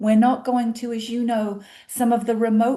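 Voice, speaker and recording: A woman with a British accent speaks at a fairly slow pace. Her voice is fairly high with a dark, mellow tone. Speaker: cruise line representative. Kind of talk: interview. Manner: animated.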